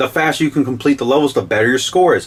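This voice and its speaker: This is a man talking. His voice has vocal fry. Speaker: game reviewer. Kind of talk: video game review. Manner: fast; casual, rambling with fillers.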